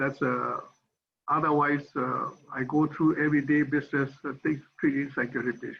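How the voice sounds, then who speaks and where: Monotone and flat, a man's fairly high voice carries vocal fry at a moderate pace. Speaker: psychiatrist. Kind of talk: lecture.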